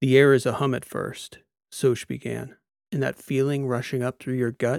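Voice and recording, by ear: The background is quiet as someone reads aloud in a natural voice.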